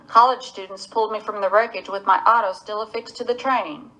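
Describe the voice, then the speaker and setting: Clear background noise runs through the clip. The speaker is a woman. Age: 30s. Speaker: person living with Huntington's disease. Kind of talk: testimony.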